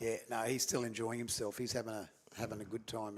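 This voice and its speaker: A man is speaking. He has an Australian accent. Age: 60s. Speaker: cricket commentator. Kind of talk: live commentary.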